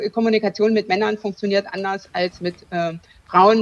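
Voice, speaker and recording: Her voice is dry and close, with no echo, and her intonation is monotone and flat. The woman speaks at a moderate pace in a medium pitch. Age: 40s. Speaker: lawyer and business coach, breast cancer survivor. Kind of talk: interview.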